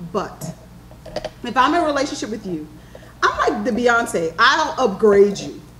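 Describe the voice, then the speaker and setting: The voice is loud, with an American accent, a moderate pace and very wide pitch swings. Audible room echo and noticeable background noise come through. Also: woman. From New York. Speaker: panelist. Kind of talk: panel discussion.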